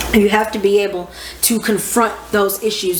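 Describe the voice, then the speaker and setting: The woman's tone is animated, her pitch medium. Noticeable background noise and audible room echo surround her voice. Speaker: astrology teacher. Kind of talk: casual lecture. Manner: loud. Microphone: microphone far away.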